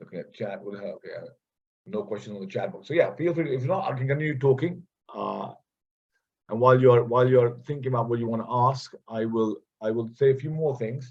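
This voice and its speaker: A man speaks at a fairly quick pace in a medium, somewhat breathy voice. His pitch varies in an ordinary way while his loudness swings widely. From India. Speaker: visiting professor. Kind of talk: online guest lecture with Q&A. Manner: halting, many repetitions and fillers.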